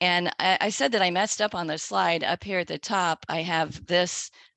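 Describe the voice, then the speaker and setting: A woman's fairly low voice with vocal fry, a moderate pace, ordinary pitch variation, and a quiet background. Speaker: webinar presenter on agricultural law. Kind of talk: webinar presentation. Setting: online webinar.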